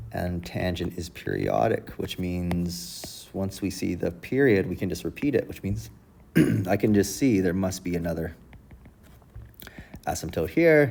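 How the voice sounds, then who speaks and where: Over music in the background, a man with a very deep, low pitch talks at a moderate pace with lively intonation. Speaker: math teacher. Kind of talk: tutorial.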